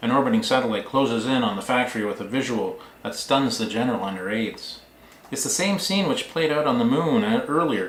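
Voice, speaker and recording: A man speaks at a fairly quick pace with very wide pitch swings. Room echo is audible. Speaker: author. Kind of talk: reading aloud.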